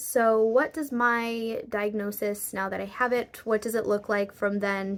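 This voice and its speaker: With fairly even intonation and a fairly slow pace, a woman speaks at medium pitch in an ordinary speaking voice. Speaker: vlogger. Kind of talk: personal vlog talk to camera. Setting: at home, raining outside.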